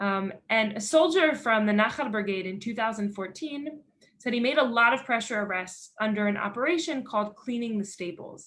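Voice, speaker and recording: A woman with a Philadelphia accent speaks at a fairly high pitch with lively intonation. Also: moderate pace. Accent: American, Philadelphia. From Philadelphia, Pennsylvania, USA. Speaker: NGO director of education, army veteran. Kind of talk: lecture.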